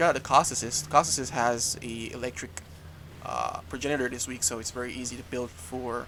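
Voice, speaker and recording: The voice has a bright, sharp tone and vocal fry, moving at a fairly quick pace with lively intonation and big swings in loudness. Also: man, medium pitch for a man. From Jamaica. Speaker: gaming YouTuber. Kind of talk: gameplay commentary. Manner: casual, rambling with fillers.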